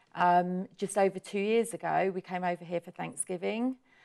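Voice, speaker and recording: A woman with an English accent speaks at a medium pitch and moderate pace, her intonation fairly even. Her tone is dark and mellow, and the sound is dry and close with no echo. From southern England, Portsmouth. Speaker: hair salon owner. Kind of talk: interview.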